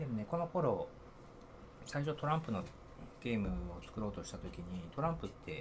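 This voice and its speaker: A man speaks, somewhat breathy, with very wide pitch swings. His pace is moderate, broken by long, frequent pauses. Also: medium pitch for a man. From Niigata, Japan. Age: 40s. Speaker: software engineer. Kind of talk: casual interview. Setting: same room, offline recording.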